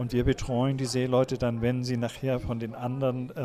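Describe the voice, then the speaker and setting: Against noticeable background noise, a man talks at a moderate pace with monotone, flat intonation. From Kiel, northern Germany. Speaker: seamen's mission deacon. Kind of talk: interview.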